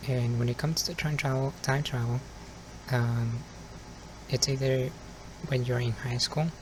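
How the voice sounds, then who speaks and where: This man has a Spanish accent and a medium pitch, and he talks at a moderate pace with long, frequent pauses. His intonation is monotone and flat, and there is noticeable background noise. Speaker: ASMR youtuber. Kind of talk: ASMR casual monologue. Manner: soft-spoken.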